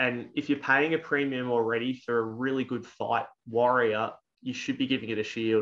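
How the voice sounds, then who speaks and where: Here a man talks at a fairly quick pace. He has an Australian accent. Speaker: tabletop wargaming tournament player; channel host. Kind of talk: casual chat. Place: home room. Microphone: video call.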